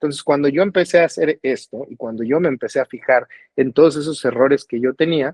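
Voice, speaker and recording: A man's normal speaking voice at a fairly high pitch, fairly quick pace and ordinary pitch variation, with a dry, close sound and no echo. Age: 40s. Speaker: singer-songwriter. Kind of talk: interview conversation.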